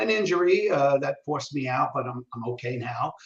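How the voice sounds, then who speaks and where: A man with a New York accent speaks at a moderate pace in a fairly high pitch. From New York City, Brooklyn. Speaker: communication trainer. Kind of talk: interview. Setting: live video stream. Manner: casual, halting with many fillers.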